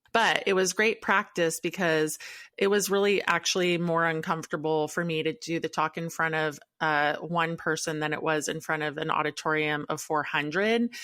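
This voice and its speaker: On a very clean recording with a silent background, a woman speaks in a bright, sharp tone at a fairly low pitch, with fairly even intonation. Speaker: podcast co-host. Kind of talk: casual chat. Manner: fast.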